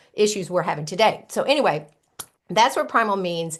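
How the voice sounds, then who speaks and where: A woman talks fairly quickly at a medium pitch, varying it in an ordinary way. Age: 60s. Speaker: health coach. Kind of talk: interview. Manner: halting, many fillers.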